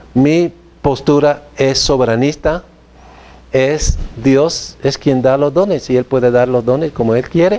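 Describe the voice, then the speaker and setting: A man talks at a fairly slow pace and a fairly high pitch. Noticeable background noise sits behind him. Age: 60s. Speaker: theology professor. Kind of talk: lecture. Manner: halting.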